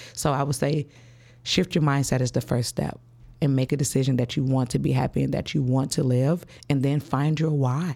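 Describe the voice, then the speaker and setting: A woman with an American accent and a very deep, low pitch, dark, mellow tone and vocal fry, fairly even intonation, very even loudness and a fairly quick pace. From Chicago West Side. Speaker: school principal and author. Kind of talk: interview.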